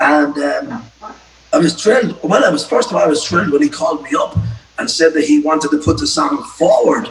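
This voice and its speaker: Over music in the background, a man with a Cork accent swings his pitch very widely. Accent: Cork Irish. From Ireland, County Cork. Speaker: folk singer-songwriter. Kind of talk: casual chat. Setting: video call.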